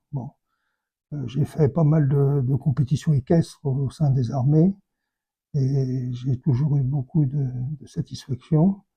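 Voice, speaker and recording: A man's fairly high, somewhat breathy voice with a dark, mellow tone, fairly even intonation, a very slow pace and long, frequent pauses. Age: 80s+. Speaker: retired army officer. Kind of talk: interview testimony. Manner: halting, many hesitations.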